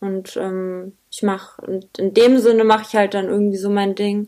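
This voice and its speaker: Her pitch is medium and her intonation monotone and flat. The woman keeps a moderate pace. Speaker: rapper. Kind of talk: casual interview.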